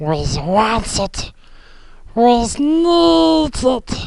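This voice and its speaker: A put-on character voice with a menacing tone sits fairly high in pitch and makes very wide pitch swings. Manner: scary, menacing.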